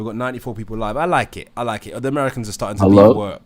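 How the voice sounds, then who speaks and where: A man with a British accent. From Britain. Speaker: live streamer. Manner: chatty, playful.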